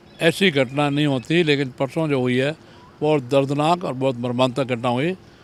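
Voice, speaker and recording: With ordinary pitch variation, a man speaks in a normal speaking voice at a fairly high pitch. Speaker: politician. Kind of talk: interview.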